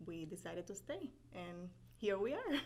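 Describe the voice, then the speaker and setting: A woman with a Spanish accent talks at a medium pitch. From Puerto Rico (Carolina, near San Juan). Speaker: business owner, paralegal. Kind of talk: interview.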